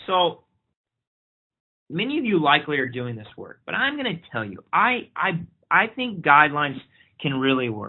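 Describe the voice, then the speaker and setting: A man speaks at a moderate pace, his pitch fairly high. His voice makes very wide pitch swings. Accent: American. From Oklahoma. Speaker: pediatric infectious disease physician. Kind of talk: webinar lecture. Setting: online webinar.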